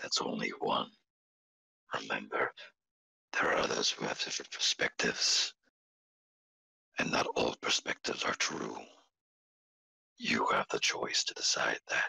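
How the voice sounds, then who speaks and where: A put-on character voice with an extremely high pitch and a solemn tone, at a moderate pace with long, frequent pauses. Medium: actual play. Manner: solemn, measured, formal.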